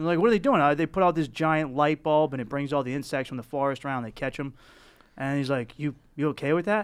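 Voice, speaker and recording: A very fast-talking man with a fairly high pitch, a Boston accent and ordinary pitch variation, on a very clean recording with a silent background. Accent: thick Boston. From South Boston, Massachusetts. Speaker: comedian. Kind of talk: casual chat.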